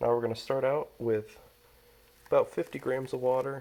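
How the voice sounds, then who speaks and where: Moderate pace from a man, with noticeable background noise. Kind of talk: casual how-to talk to camera.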